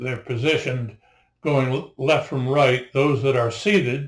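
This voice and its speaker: A man talks at a medium pitch with fairly even intonation. His voice is somewhat breathy. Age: 80s+. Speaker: naturalist and local historian. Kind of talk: narration to camera. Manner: halting.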